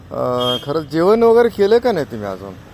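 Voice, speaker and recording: This man's voice sits fairly high in pitch and moves through very wide pitch swings. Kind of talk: street interview. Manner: casual.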